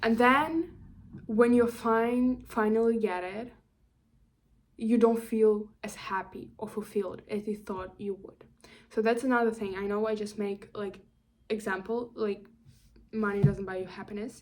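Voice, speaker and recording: A woman with an ordinary speaking voice talks at a fairly slow pace and fairly high pitch, keeping her intonation fairly even. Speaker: career vlogger. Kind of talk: casual monologue vlog. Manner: rambling, self-correcting with fillers.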